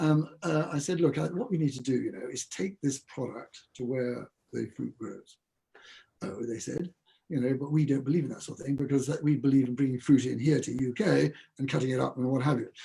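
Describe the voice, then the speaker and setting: With a dark, mellow tone and ordinary pitch variation, a man speaks at a fairly quick pace in a somewhat breathy, fairly high-pitched voice. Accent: English. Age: 70s. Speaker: food company founder. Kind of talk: interview. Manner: halting.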